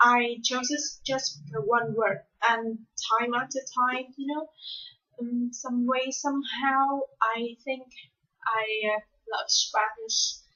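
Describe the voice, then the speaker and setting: Speaking at a very slow pace with long, frequent pauses, a woman uses a high pitch and ordinary pitch variation. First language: Vietnamese. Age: 20s. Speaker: university student. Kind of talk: spoken class assignment monologue. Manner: hesitant, many fillers.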